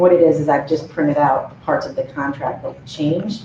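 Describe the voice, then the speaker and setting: The speech holds a moderate pace, with noticeable background noise throughout. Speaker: program director presenting to county board. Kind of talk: public meeting presentation. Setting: county board meeting room.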